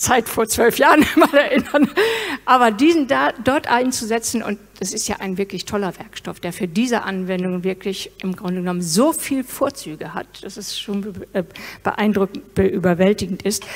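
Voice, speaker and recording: A woman speaks at a moderate pace. Her loudness rises and falls widely. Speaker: presenter. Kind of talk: interview answer. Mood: warm, enthusiastic. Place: stage. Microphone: handheld.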